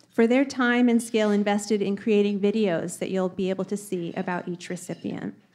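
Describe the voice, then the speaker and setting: A woman speaks at a moderate pace. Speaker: event host. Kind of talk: formal event speech. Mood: warm, smiling. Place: hall. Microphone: podium.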